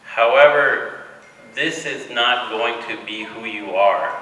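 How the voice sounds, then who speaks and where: Very slow speech from a man, with noticeable background noise and audible room echo. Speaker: hospital director. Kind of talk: speech to new medical students.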